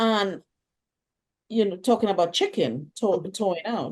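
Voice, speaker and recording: A woman with a Trinidadian accent speaks at a moderate pace in a dark, mellow tone. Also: quiet background. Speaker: Caribbean immigrant interviewee. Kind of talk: interview testimony.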